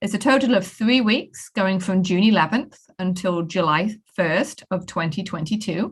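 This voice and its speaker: In a British accent, a woman talks at a fairly slow pace with a medium pitch. Her voice is somewhat breathy, with ordinary pitch variation. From UK. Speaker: professor. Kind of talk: program overview presentation.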